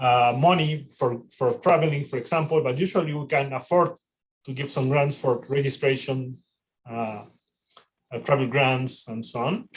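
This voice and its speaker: A man talks at a moderate pace in a fairly high, somewhat breathy voice with ordinary pitch variation. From Mexico. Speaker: AI researcher and panel organizer. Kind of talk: panel introduction on a livestream. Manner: halting, many repetitions and fillers.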